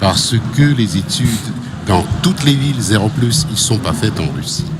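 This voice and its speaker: Over noticeable background noise and audible room echo, a man with a medium-pitched voice speaks at a fairly slow pace with lively intonation. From Russia. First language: Russian (speaking French). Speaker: radio executive. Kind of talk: interview. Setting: radio studio at trade show. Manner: hesitant.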